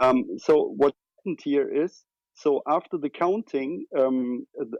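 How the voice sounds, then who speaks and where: A man with a German accent speaks at a very slow pace, the sound dry and close with no echo against a quiet background. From Germany. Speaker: retail investor. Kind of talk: casual chat. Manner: halting.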